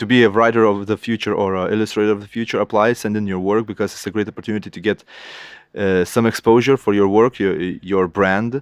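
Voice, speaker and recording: A man with a Lithuanian accent speaks at a very fast pace in a fairly low pitch, his intonation monotone and flat. The sound is dry and close with no echo, over a quiet background. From Lithuania, Kaunas. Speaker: illustrator. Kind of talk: interview. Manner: halting.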